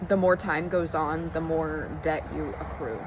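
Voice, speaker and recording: A woman talks fairly slowly, with noticeable background noise in the recording. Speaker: spiritual vlogger. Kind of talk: casual vlog monologue. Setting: outdoors. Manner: halting.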